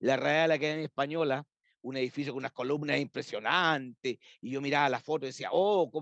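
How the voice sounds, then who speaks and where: A man talks at a very fast pace, the sound dry and close with no echo. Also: fairly high pitch for a man, fairly even intonation. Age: 60s. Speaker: librarian and university academic. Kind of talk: interview conversation.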